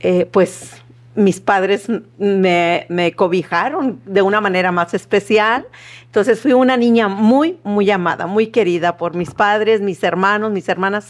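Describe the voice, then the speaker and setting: Speaking at a fairly slow pace, a woman with a northern Mexican accent keeps a medium pitch that varies in an ordinary way. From northern Mexico, Matamoros, Tamaulipas. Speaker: seminary student coordinator. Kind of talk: testimony.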